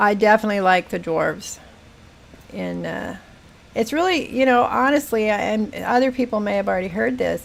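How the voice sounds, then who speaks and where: An ordinary speaking voice from a woman, fairly high in pitch, moves along at a moderate pace. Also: ordinary pitch variation. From Northern California, Humboldt County. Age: 60s. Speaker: gaming streamer. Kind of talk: casual live-stream chat.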